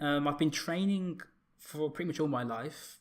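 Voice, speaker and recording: A man with a British accent and ordinary pitch variation. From UK. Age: 30s. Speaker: fitness content creator. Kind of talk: casual chat. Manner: halting, many fillers.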